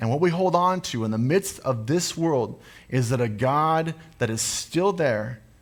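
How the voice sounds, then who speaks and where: A man with a plain, everyday voice talks at a fairly slow pace with lively intonation. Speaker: pastor. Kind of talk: sermon / preaching to a congregation.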